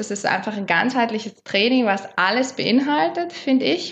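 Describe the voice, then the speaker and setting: A woman has an ordinary speaking voice with a fairly high pitch. She talks at a moderate pace. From South Tyrol, Meran area. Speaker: holistic body therapist. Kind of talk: casual interview.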